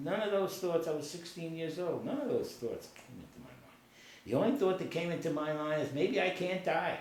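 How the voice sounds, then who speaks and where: A high-pitched man, fairly quick, with big swings in loudness, ordinary pitch variation, audible room echo and noticeable background noise. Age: 70s. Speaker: war veteran. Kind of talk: casual chat. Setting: on a couch at home.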